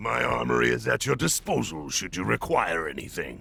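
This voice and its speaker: A man uses a raspy put-on character voice with a very deep, low pitch and lively intonation. He keeps a moderate pace over light background noise. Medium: video game. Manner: blustering, loud.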